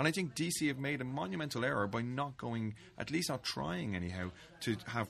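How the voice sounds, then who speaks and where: Music plays in the background. Over it, a man talks with an Irish accent. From Ireland, Dublin. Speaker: fanzine editor and Hugo winner. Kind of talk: casual chat. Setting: studio.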